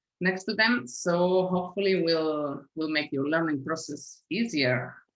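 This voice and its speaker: An unremarkable speaking voice from a woman, fairly low in pitch, at a fairly slow pace with ordinary pitch variation. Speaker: language teacher. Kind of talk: tutorial.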